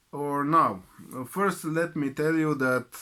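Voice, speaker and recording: The recording is very clean, with a silent background. A man with a bright, sharp tone speaks at a fairly slow pace. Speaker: YouTuber. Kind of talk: personal vlog. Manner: halting.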